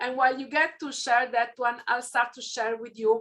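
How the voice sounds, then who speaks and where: A woman talks in an Italian accent. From southern Italy, near Naples. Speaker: keynote speaker. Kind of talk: keynote talk. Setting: online event.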